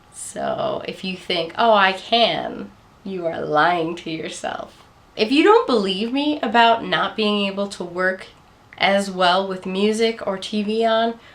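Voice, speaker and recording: Noticeable background noise behind a woman's medium-pitched voice, lively in intonation and at a fairly slow pace. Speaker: college student. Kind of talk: casual talk to camera. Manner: low-key.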